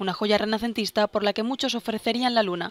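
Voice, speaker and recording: Her intonation monotone and flat, a woman talks at a fairly quick pace and fairly high pitch in a dry, close sound with no echo. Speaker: news presenter. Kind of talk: news reading. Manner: formal; steady, even-paced.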